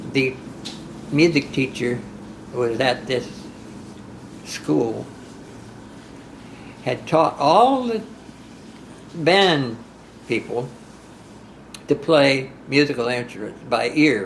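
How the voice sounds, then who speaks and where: Noticeable background noise runs under a man's voice. He speaks at a very slow pace with long, frequent pauses and ordinary pitch variation. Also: medium pitch for a man. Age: 80s+. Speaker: country singer. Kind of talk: interview answer. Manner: hesitant, halting.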